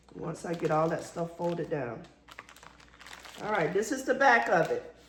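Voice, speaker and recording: Lively intonation marks this woman's moderate-paced speech, heard with audible room echo and noticeable background noise. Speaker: crafter and gift basket vendor. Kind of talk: tutorial. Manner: casual, conversational.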